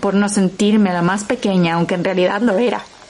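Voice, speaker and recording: A woman's medium-pitched voice at a moderate pace, with noticeable background noise. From Mexico. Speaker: podcast host and narrator. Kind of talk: scripted narration.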